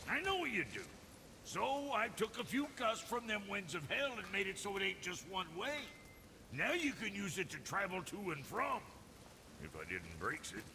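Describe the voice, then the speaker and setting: A man puts on a drawling character voice with a high pitch, at a moderate pace. Clear background noise runs underneath. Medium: video game. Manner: folksy, ungrammatical drawl.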